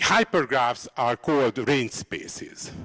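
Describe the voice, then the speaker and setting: Speaking very slowly, a man is heard with a quiet background. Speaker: lecturer. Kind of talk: lecture. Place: hall. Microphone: handheld.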